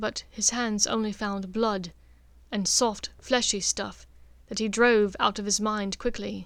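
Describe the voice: The intonation holds fairly even. The delivery is plain reading aloud.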